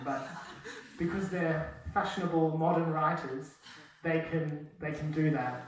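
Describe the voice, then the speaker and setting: A man talks at a moderate pace with audible room echo and noticeable background noise. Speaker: university lecturer in translation. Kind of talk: lecture. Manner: casual, hesitant with many fillers.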